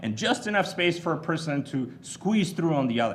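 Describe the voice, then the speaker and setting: With a Bulgarian accent, a man speaks at a high pitch with lively intonation, and audible room echo surrounds his voice. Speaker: commencement speaker. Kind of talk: commencement speech. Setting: stage with audience.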